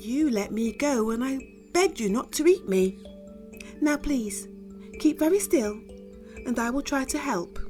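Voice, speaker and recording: A woman puts on a squeaky character voice, fairly high in pitch and timid in tone, speaking at a moderate pace with long, frequent pauses over clear music in the background. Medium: read story. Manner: timid, polite.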